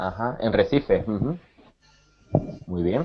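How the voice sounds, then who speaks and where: This man talks at a very slow pace with a medium pitch. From Spain, Cáceres. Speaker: Spanish teacher. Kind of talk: online language class.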